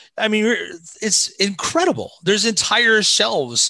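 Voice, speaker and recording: A man's raised, projected voice, high in pitch and bright and sharp in tone, in a Midwestern American accent at a fairly slow pace against a quiet background. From US Midwest, southern Indiana near Cincinnati. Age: 40s. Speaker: pastor. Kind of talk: casual chat.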